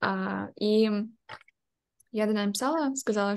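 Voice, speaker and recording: This woman's voice has a medium pitch. The background is quiet. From Ukraine. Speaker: product designer; interviewee. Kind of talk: interview answer. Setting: video call. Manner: anxious, hesitant. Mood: calm, reflective. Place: home room. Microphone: webcam.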